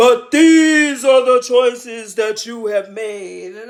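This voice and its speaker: In a put-on character voice, a man speaks very slowly, shaky and solemn, at an extremely high pitch. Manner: solemn, authoritative.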